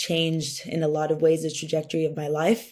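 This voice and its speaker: A woman's very deep, low voice with a dark, mellow tone and a Californian accent. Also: very clean recording, silent background. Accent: Californian American English. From Southern California (Orange County). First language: Spanish. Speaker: venture capital founder, workshop speaker. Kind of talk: workshop talk.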